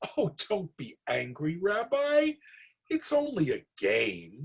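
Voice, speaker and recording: A man puts on a character voice at a very slow pace, his pitch high with very wide swings. The sound is dry and close, with no echo. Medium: read story. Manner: warm, chatty.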